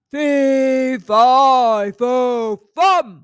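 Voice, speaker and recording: A put-on character voice bellows at a high pitch. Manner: bellowing.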